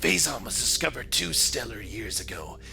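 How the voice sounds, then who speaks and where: A man does a put-on character voice at a fairly quick pace over clear background noise. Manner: put-on, theatrical.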